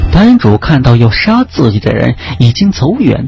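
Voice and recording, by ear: A natural voice reads the text aloud.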